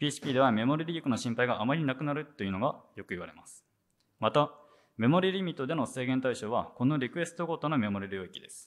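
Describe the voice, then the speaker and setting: With lively intonation, a man races along at a very fast pace in a medium pitch. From Japan, Sendai (Miyagi); Miyagi, Japan. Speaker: software engineer, conference speaker; conference speaker. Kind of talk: conference talk. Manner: hesitant, many fillers. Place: hall. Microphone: handheld.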